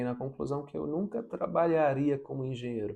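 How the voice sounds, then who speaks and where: A man's relaxed, dark and mellow voice at medium pitch, with a non-native accent, moderate pace and ordinary pitch variation. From abroad, moved to Brazil as a teen. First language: not Portuguese (speaking Portuguese). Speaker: vlogger, engineering graduate. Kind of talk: personal vlog advice. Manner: reflective, relaxed.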